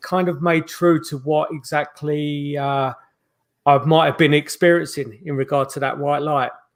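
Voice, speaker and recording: With a London accent, a man speaks at a moderate pace in a fairly high, monotone voice with flat intonation. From South London, England (Croydon). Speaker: paranormal investigator. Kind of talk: interview. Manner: halting, many fillers.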